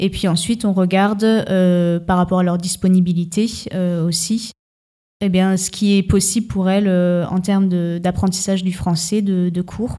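A woman with a dark, mellow tone talks at a fairly slow pace in a medium pitch, her intonation monotone and flat and her loudness very even, on a very clean recording with a silent background. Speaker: association mediator. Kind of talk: radio interview. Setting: stage with audience. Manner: hesitant, many fillers.

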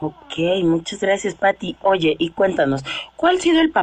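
Against noticeable background noise, a woman talks at a moderate pace with ordinary pitch variation. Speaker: radio host. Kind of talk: radio interview.

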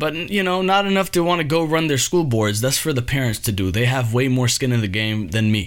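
A man of medium pitch speaks at a moderate pace with noticeable background noise. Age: 30s. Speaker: solo podcast host. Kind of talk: casual monologue. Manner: animated.

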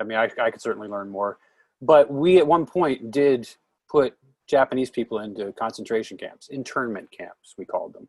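An ordinary speaking voice with an American accent moves at a moderate pace with ordinary pitch variation. The sound is dry and close with no echo, and the loudness swings widely. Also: man, medium pitch for a man. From Oregon, US. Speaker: podcast host. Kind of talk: casual chat.

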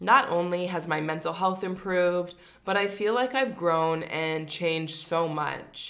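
A woman speaks in a Canadian accent, fairly low in pitch and fairly slow. She has an unremarkable speaking voice with ordinary pitch variation. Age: 30s. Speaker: podcast host. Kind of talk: personal monologue.

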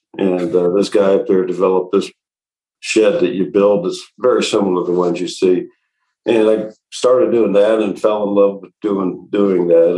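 A man's ordinary speaking voice, moderate in pace and fairly low in pitch. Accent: American. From Indiana, Indianapolis. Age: 60s. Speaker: remodeling business owner. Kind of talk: interview.

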